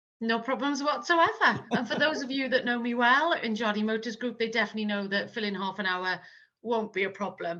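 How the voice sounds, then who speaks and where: In a Welsh accent, a woman talks at a fairly quick pace in a fairly high pitch, her tone bright and sharp and her pitch varying in an ordinary way. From South Wales. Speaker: marketing manager. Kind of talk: interview.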